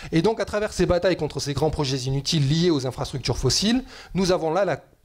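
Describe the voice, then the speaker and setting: Intonation here is lively. The pace is fairly quick. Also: man. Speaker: economist and climate activist. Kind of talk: panel debate talk. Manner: fast.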